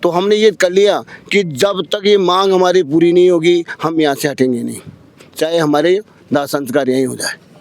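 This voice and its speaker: A man speaks with a high voice. His pitch varies in an ordinary way. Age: 80s+. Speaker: protester. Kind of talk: street interview.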